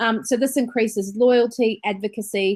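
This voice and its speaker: A New Zealand accent with ordinary pitch variation. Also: woman. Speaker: business trainer and entrepreneur. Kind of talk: webinar presentation. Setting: online webinar.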